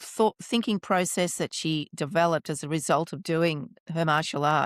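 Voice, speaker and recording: Heard in a very clean recording with a silent background and a dry, close sound with no echo, a woman with a plain, everyday voice speaks at a fairly low pitch and a moderate pace with ordinary pitch variation. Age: 60s. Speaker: podcast host. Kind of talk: interview.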